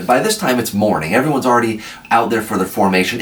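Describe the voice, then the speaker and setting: A man with an American accent speaks at a fairly low pitch in an animated tone. Noticeable background noise and audible room echo surround him. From Iowa. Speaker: army veteran. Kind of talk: storytelling.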